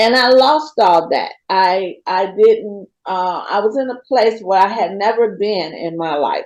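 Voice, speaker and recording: Hardly any pauses break up the speech. It moves at a fairly slow pace. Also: woman, medium pitch for a woman, ordinary pitch variation. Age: 60s. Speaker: person in recovery sharing her story. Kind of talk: testimony. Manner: halting, many fillers.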